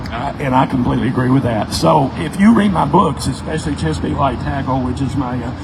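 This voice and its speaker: Amid noticeable background noise and audible room echo, a man talks very fast at medium pitch. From Tennessee. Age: 60s. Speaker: fishing guide and author. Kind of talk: casual Q&A talk at a store event.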